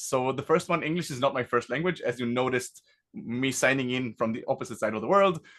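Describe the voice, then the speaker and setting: With an Israeli accent, a man speaks at a fairly quick pace in a medium pitch with ordinary pitch variation against a quiet background. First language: Hebrew. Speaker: tech company founder and CEO. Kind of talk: product demo presentation.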